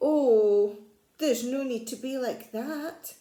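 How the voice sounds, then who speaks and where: A woman uses a put-on character voice with high pitch at a fairly slow pace. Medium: read story. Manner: polite, gentle.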